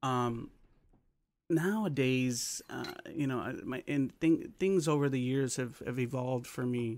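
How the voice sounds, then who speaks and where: At a fairly slow pace, a man with a normal speaking voice talks at medium pitch with ordinary pitch variation. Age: 40s. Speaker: music interviewer. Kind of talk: casual chat.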